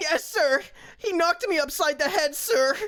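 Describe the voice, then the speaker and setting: A man shouts loudly in a put-on character voice, his pitch extremely high. The voice sounds strained, and the pace is moderate. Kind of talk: comic overacting. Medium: game stream. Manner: loud, eager, ends every phrase with sir.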